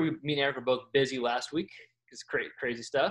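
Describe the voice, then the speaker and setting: An unremarkable speaking voice from a man with an American accent, medium in pitch, with fairly even intonation. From Texas.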